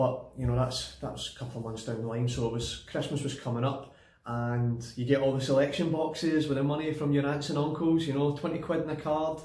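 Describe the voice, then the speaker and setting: Noticeable background noise sits behind a man with a Glaswegian accent. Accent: Glaswegian Scottish. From Glasgow, Scotland. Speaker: personal trainer. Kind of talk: casual personal story to camera.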